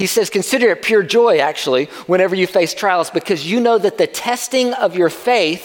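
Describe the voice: This is plain reading aloud. The text is read out.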